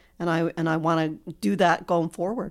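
Here is a woman with a normal speaking voice, fairly low in pitch, at a fairly quick pace. The recording is very clean with a silent background. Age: 50s. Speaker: host's mother. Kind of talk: casual interview.

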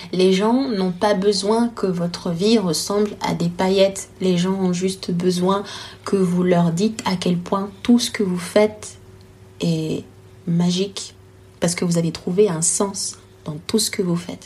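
A woman speaks very slowly at a medium pitch, her intonation fairly even, with noticeable background noise behind her. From Congo. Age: 20s. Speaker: storytelling consultant and entrepreneur. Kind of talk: interview. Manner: hesitant, many fillers.

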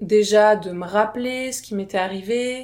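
A woman speaks at a fairly slow pace and a medium pitch. The recording is very clean, with a silent background. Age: 30s. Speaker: abuse survivor sharing her story. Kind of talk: testimony. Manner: halting.

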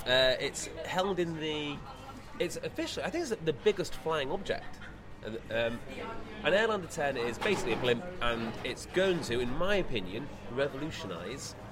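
A man with a fairly high voice talks at a moderate pace with lively intonation over noticeable background noise. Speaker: podcast host. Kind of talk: casual interview chat. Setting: outdoors at air show.

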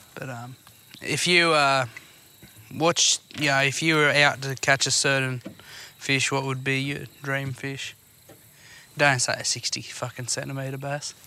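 A man with an Australian accent talks at a fairly slow pace, with long, frequent pauses. His pitch is fairly high and his intonation monotone and flat. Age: 20s. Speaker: podcast host. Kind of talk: casual chat. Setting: outdoors.

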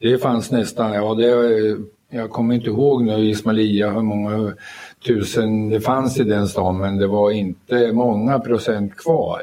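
A man's fairly low-pitched, monotone, flat delivery. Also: fairly slow pace. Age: 80s+. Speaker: army veteran, UN peacekeeper. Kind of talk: live panel talk. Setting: stage with audience in a library. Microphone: poorer live sound.

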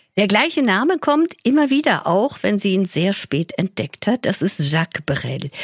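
This woman's medium-pitched voice holds a moderate pace. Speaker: podcast host. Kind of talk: scripted presenting.

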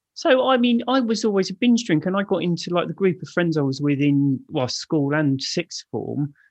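In a London accent, a man speaks at a high pitch with very wide pitch swings. He keeps a moderate pace with hardly any pauses. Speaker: author and speaker on alcohol addiction. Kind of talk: casual interview. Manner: blunt, laid-back.

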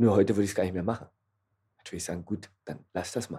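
A man's somewhat breathy voice, dark and mellow in tone, races at a very fast pace with ordinary pitch variation. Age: 30s. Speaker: café owner. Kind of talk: casual chat. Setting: in his café.

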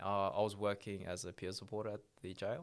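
On a very clean recording with a silent background, a man with an Australian accent speaks in a fairly low pitch with monotone, flat intonation. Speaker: former prisoner. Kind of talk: interview.

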